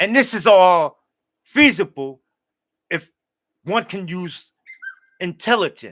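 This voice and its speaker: Very slowly and with long, frequent pauses, a man speaks at a high pitch with lively intonation and big swings in loudness. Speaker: livestream host. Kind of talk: rambling monologue. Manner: halting.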